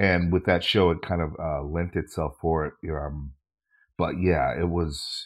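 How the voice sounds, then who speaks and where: With an American accent, a man talks in a very clean recording against a silent background. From Minnesota. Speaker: actor and comedian. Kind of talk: casual interview chat.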